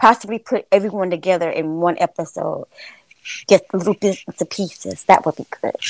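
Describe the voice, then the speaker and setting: On a very clean recording with a silent background and a dry, close sound with no echo, a woman with an American accent and an unremarkable speaking voice talks at a fairly quick pace, with medium pitch, fairly even intonation and big swings in loudness. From Florida. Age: 40s. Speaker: podcast host. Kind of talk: interview.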